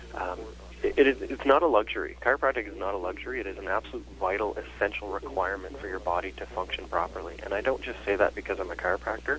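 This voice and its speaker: A man with a slight Canadian accent at a very fast pace, with noticeable background noise. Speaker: chiropractor. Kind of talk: interview.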